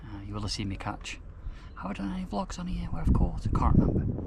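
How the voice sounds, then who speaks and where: A man talking very fast, with audible room echo and noticeable background noise. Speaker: carp fishing vlogger. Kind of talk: casual vlog narration. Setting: outdoors at lake. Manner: quiet, lowered voice.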